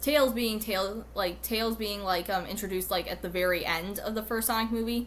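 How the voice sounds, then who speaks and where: At medium pitch and a moderate pace, a woman speaks with a bright, sharp tone and some vocal fry. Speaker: YouTuber. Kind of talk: casual monologue video. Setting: recorded at home on computer. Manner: halting, many fillers.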